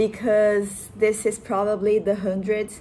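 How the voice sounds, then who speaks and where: In a Portuguese accent, the speaker talks at a fairly slow pace. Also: woman. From Brazil. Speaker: vlogger. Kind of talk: casual vlog monologue. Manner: halting, hesitant.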